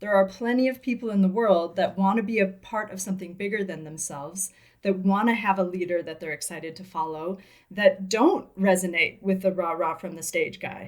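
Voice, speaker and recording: A woman talks at a fairly quick pace with fairly even intonation. Her loudness swings widely. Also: medium pitch for a woman. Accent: slight Midwestern American. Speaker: business coach and podcast co-host. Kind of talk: casual podcast conversation.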